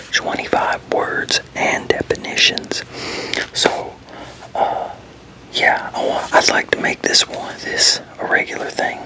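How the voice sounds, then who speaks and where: Noticeable background noise surrounds a man whispering fairly slowly. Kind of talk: ASMR whispered word definitions reading. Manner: whispered, soft.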